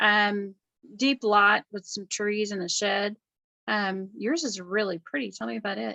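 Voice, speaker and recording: A woman with a Southern US accent, fairly slow pace, medium pitch, ordinary pitch variation and a bright, sharp tone, in a dry, close sound with no echo. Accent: Southern drawl. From US South. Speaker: real estate agent. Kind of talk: casual video chat. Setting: video call.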